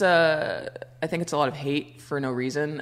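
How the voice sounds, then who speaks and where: Noticeable background noise surrounds a woman's voice. Her pitch is very deep and low, and her pace is moderate. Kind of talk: casual banter.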